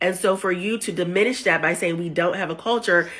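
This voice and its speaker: A woman talks at a fairly quick pace, her fairly low pitch showing ordinary variation. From United States. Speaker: social media commentator. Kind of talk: opinion video monologue.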